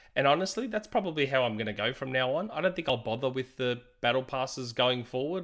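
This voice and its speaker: On a very clean recording with a silent background, a man speaks at a medium pitch in an unremarkable speaking voice. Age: 40s. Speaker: video game podcast co-host. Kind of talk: casual chat.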